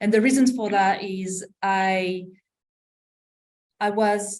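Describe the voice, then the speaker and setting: Fairly even intonation and a medium pitch mark this woman's voice, which carries a French accent. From France. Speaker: M&A practitioner. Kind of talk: podcast interview. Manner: halting, many false starts.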